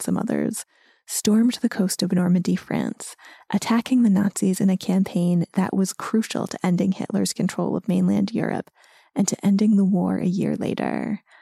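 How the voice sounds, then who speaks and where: In an American accent, a woman talks at a moderate pace in a somewhat breathy voice. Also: dry, close sound with no echo. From US. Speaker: podcast host. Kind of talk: scripted narration.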